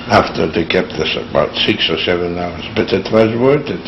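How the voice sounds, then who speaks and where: The speech moves at a moderate pace with lively intonation. Noticeable background noise can be heard. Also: man. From Lithuania. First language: Yiddish. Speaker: Holocaust survivor. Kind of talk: oral history interview. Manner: halting.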